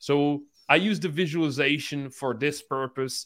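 At a moderate pace, a man with a Czech accent speaks at a fairly high pitch with ordinary pitch variation. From Czech Republic. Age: 20s. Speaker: entrepreneur. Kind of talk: casual interview chat. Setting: video call from hotel room.

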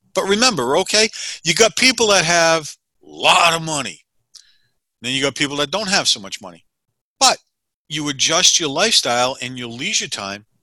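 A man with an American accent talks at a fairly quick pace, his fairly high pitch making very wide swings in a bright, sharp tone. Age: 60s. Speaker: financial advisor. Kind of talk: interview.

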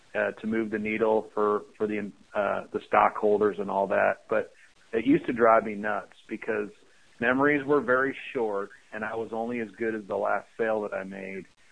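A man with an American accent and a normal speaking voice, fairly low in pitch, at a moderate pace with fairly even intonation. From US Midwest, Chicago area. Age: 40s. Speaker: Air Force veteran and franchise business founder. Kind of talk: interview.

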